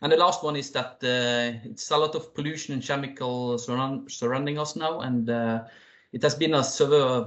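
A man with a Norwegian accent speaks at a moderate pace in a medium pitch, his intonation fairly even against a quiet background. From Norway. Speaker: company CEO and founder; presenter. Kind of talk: business presentation. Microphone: video call.

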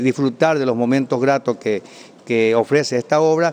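The speaker talks at a fairly quick pace with ordinary pitch variation. There is light background noise. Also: man. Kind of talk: interview answer. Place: hall. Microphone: handheld.

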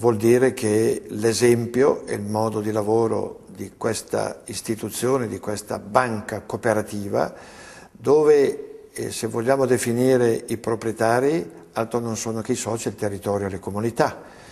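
Against a quiet background, a man speaks at a fairly slow pace. His tone is dark and mellow, his intonation fairly even. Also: medium pitch for a man. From Lombardy, Italy (Treviglio, Bergamo area); Lombardy, Italy. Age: 70s. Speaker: bank president. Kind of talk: interview testimony. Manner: hesitant, with frequent fillers. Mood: calm, earnest. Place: office.

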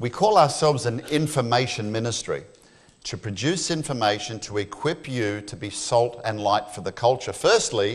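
With an Australian accent, a man speaks at a medium pitch in a somewhat breathy voice. His pitch varies in an ordinary way, while his loudness swings widely. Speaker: creation ministry speaker; speaker. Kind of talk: church talk. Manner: fast. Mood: humorous, engaging. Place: church.

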